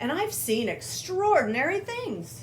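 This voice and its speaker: A woman puts on a character voice, speaking at a fairly slow pace over clear background noise. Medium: read story. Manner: proud, animated.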